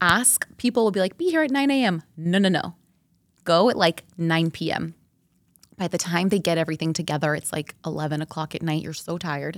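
On a very clean recording with a silent background, a woman with a fairly low pitch speaks at a fairly quick pace in an animated tone with ordinary pitch variation. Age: 40s. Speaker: marketing executive and mother. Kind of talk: casual chat.

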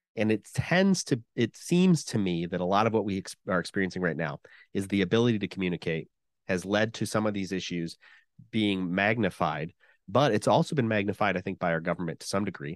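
A man talks at a fairly quick pace in an ordinary speaking voice, with fairly low pitch and ordinary pitch variation. The sound is dry and close with no echo, over a quiet background. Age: 40s. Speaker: podcast host, guest here. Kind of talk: casual chat.

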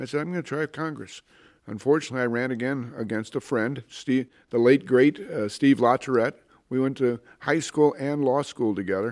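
A man talks at a fairly quick pace in an Ohio accent with ordinary pitch variation. The recording is very clean, with a silent background. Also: medium pitch for a man. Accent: Midwestern American (Ohio). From Northeast Ohio, Cleveland area. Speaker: former judge and political candidate. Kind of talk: interview.

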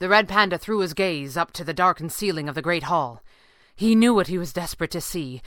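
Ordinary pitch variation throughout a natural reading voice

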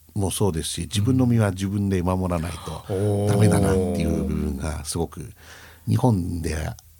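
A man speaks at a very deep, low pitch with ordinary variation and a moderate pace. Room echo is audible, and there is noticeable background noise. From Japan, Sendai (Miyagi). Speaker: company president. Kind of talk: radio interview.

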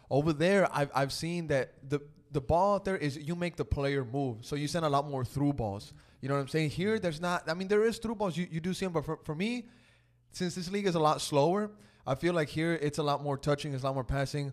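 Speaking at a fairly quick pace in an American accent, a man has an unremarkable speaking voice, a fairly high pitch and ordinary pitch variation. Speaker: podcast host. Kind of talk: casual sports chat.

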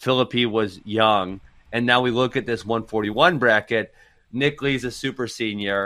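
A man with an American accent has a plain, everyday voice, talking at a moderate pace and medium pitch with fairly even intonation. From Wisconsin. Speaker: wrestling coach and pundit. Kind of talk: casual chat.

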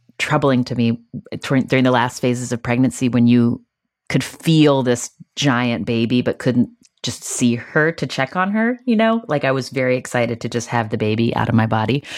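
Her voice sits at a very deep, low pitch. The woman keeps a moderate pace and fairly even intonation. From West Virginia. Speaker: podcast host and author. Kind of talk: interview conversation.

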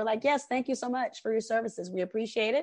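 A woman's very fast speech with lively intonation over a quiet background. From Atlanta, Georgia (raised in Decatur). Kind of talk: casual interview.

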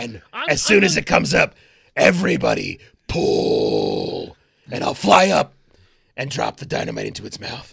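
A man's raspy, put-on character voice at a moderate pace, broken by long, frequent pauses. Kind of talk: comic overacting. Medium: actual play. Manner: brash, eager.

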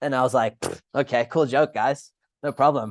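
Over a quiet background, a man with an unremarkable speaking voice talks at a moderate pace with ordinary pitch variation, the sound dry and close with no echo. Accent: American. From Sydney, Australia and Rochester, US. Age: 30s. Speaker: former hardcore band musician. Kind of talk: casual chat. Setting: remote call from Australia.

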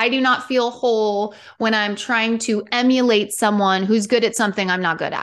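A woman with a fairly high pitch and an unremarkable speaking voice talks with fairly even intonation over a quiet background. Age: 40s. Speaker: wellness coach. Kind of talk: casual interview chat.

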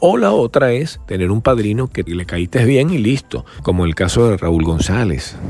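A man with a fairly low pitch talks at a fairly slow pace, his pitch swinging very widely. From Venezuela (Valencia). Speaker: podcast host, journalist. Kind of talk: casual chat. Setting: outdoors by a pool, on location.

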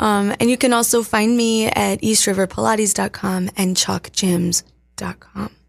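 Her voice is a plain, everyday voice, pitched in the medium range for a woman. She keeps a moderate pace with fairly even intonation. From Appalachian Virginia, US. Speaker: dance and fitness instructor. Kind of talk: casual interview. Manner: casual, lots of fillers.

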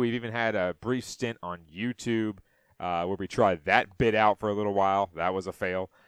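This man has an unremarkable speaking voice, fairly low in pitch, with ordinary pitch variation. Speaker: sports podcast host. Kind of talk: solo sports talk podcast recapping games and stats. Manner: loose, chatty delivery with frequent filler 'uh' between stat rundowns; folksy, rambling sign-offs that repeat themselves.

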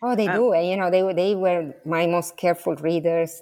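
On a very clean recording with a silent background, a woman speaks with an Italian accent. Her fairly low voice has a dark, mellow tone, ordinary pitch variation and a fairly quick pace. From Sicily, Italy. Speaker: history professor. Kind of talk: interview.

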